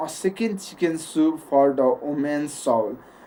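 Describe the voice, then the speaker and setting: A woman with a non-native accent, a very deep, low pitch and ordinary pitch variation. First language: not English. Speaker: English learner reading stories. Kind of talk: reading aloud and casual talk. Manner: halting.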